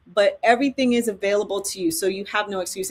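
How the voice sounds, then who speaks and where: A woman's plain, everyday voice, medium in pitch, with a fairly quick pace and ordinary pitch variation. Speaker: filmmaking educator and live event host. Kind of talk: sales pitch. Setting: livestream.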